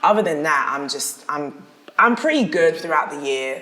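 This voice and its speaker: Lively intonation marks a woman speaking at a moderate pace with a South London accent. Noticeable background noise and audible room echo fill the recording. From South London, England. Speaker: dancer and actress. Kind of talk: casual interview chat.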